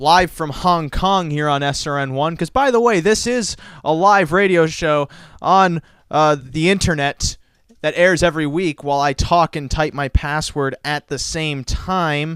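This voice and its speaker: A man talks loudly at a high pitch on a very clean recording with a silent background. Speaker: internet radio host. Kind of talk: casual chat. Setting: studio. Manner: animated.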